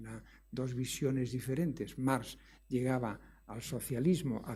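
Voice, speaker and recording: A man speaks with a Galician accent at a medium pitch. His voice is somewhat breathy, with a dark, mellow tone. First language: Galician (speaking Spanish). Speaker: economics professor. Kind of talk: lecture. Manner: hesitant, with many fillers.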